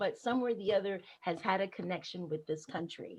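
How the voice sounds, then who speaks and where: This woman's voice sits at a medium pitch. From Panama. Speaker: activist and nonprofit founder. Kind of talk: panel discussion. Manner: impassioned.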